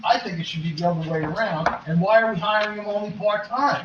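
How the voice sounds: Talking fast, a man has a high pitch, a fairly bright tone and fairly even intonation, with audible room echo.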